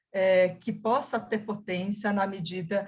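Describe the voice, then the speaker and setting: A woman with a medium pitch speaks very slowly in a flat, monotone way. Her voice is somewhat breathy. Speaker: museum professional. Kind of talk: panel discussion answer.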